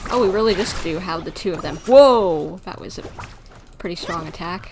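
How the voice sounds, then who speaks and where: With an American accent, a woman speaks at medium pitch in an animated tone, with ordinary pitch variation and big swings in loudness, amid audible room echo and noticeable background noise. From United States. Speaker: gaming streamer. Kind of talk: live gameplay commentary. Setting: livestream. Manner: fast.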